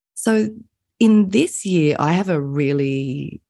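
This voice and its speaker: With an Australian accent, a woman speaks in a very deep, low register, her tone dark and mellow and her intonation lively. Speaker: business coach and consultant. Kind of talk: interview.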